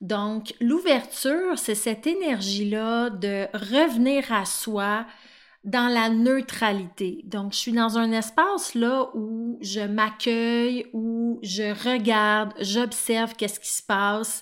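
A woman's fairly high voice at a very slow pace, in a very clean recording with a silent background. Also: ordinary pitch variation. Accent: Quebec. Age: 30s. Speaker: life coach and podcast host. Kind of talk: solo podcast monologue.

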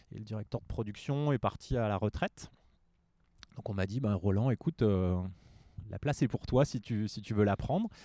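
A man speaks at a fairly low pitch with a dark, mellow tone, ordinary pitch variation and long, frequent pauses. The recording is very clean with a silent background and a dry, close sound with no echo. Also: moderate pace. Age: 40s. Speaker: yoga teacher and career coach. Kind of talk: casual interview. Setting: outdoors in a bar garden.

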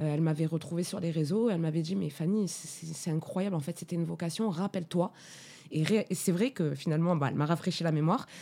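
Dark and mellow in tone, the voice races at a very fast pace with ordinary pitch variation in a very clean recording against a silent background. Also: woman, fairly low pitch for a woman. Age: 30s. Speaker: sound engineer. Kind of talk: interview. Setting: studio.

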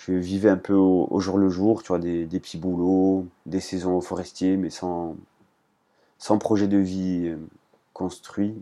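In a quiet background, a man with a very deep, low pitch speaks very slowly, his tone dark and mellow and his intonation flat and monotone. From Corsica. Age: 20s. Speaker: trail runner and adventurer. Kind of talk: interview testimony. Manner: halting, many repetitions.

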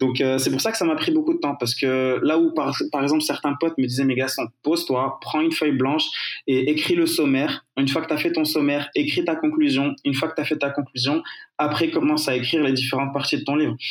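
A man talks at a fairly quick pace with very even loudness. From Morocco. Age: 20s. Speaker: digital marketing entrepreneur. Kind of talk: interview. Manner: casual.

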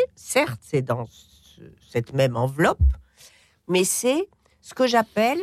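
Speaking very slowly, a woman at medium pitch makes very wide pitch swings, recorded with a dry, close sound and no echo. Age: 70s. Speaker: essayist and cookbook author. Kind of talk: radio interview.

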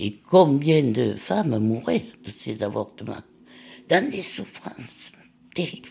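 Speaking at a very slow pace with long, frequent pauses, a woman uses a very deep, low pitch with very wide pitch swings and big swings in loudness. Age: 80s+. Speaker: retired nurse and lab technician. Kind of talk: personal testimony.

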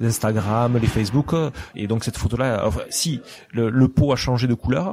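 Man with a Toulouse accent, medium pitch and ordinary pitch variation, over noticeable background noise. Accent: southern French, Toulouse. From southwest France, Lourdes and Toulouse. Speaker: restaurant owner. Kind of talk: interview.

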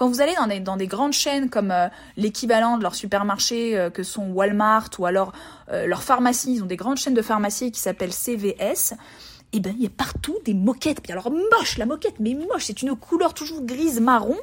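At a moderate pace, a woman talks with lively intonation at a fairly high pitch. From France, Burgundy (Montbard). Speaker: travel podcaster. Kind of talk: solo podcast monologue. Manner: hesitant, many repetitions and fillers.

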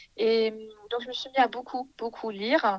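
A woman's fairly high voice at a moderate pace, in a dry, close sound with no echo. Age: 20s. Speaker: early childhood educator. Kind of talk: interview. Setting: remote recording. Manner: hesitant with many fillers.

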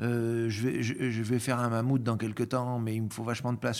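Over noticeable background noise, a man at a medium pitch speaks at a very fast pace. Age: 50s. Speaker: chocolatier. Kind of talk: casual interview conversation.

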